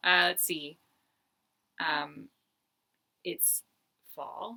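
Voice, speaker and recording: A woman's bright, sharp tone with vocal fry. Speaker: knitting podcaster and pattern designer. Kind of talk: casual chat. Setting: home, in front of yarn stash. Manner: fast.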